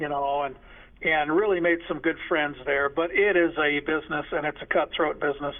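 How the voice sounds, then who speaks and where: A man with a fairly high pitch talks at a moderate pace. He has an unremarkable speaking voice and fairly even intonation. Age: 60s. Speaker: high school sports association media staffer. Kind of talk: interview.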